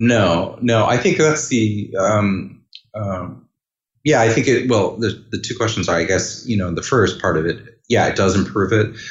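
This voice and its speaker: Speaking at a fairly slow pace, a man with a fairly low, somewhat breathy voice uses lively intonation. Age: 40s. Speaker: orchestral clarinetist. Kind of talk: interview. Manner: halting.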